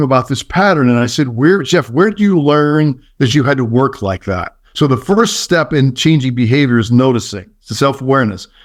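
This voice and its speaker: An unremarkable speaking voice from a man, fairly high in pitch, with lively intonation at a fairly quick pace against a quiet background. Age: 60s. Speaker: leadership consultant. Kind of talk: podcast interview.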